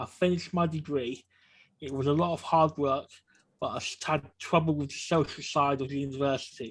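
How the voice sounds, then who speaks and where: A man speaks in a fairly high pitch, somewhat breathy, at a moderate pace with fairly even intonation. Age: 40s. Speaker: person with lived experience sharing story. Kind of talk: personal testimony.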